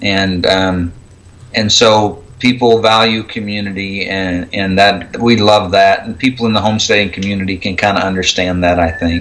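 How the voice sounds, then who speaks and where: Against noticeable background noise, a man with an American accent talks at a moderate pace. His fairly low voice is monotone with flat intonation. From Oklahoma. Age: 40s. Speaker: homesteader. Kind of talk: casual chat.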